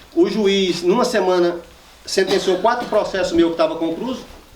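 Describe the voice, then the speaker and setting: Amid noticeable background noise, a man talks at a moderate pace with very wide swings in pitch. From northwest Minas Gerais, Brazil. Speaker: rural land-rights leader and poet. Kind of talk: public talk to a live audience.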